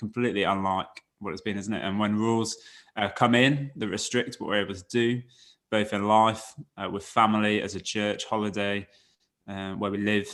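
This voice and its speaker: The recording is very clean, the background silent. A man with fairly low pitch speaks at a fairly quick pace in a monotone, flat intonation. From Devon, West Country England. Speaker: church worker. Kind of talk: casual interview.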